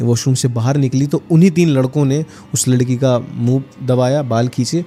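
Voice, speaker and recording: Music plays in the background. A man talks at medium pitch with ordinary pitch variation. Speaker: horror storyteller. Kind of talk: podcast storytelling.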